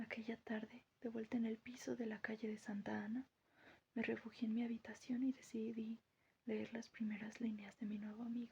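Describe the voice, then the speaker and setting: Moderate tempo, soft-spoken voice. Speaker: audiobook narrator. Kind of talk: reading aloud. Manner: quiet.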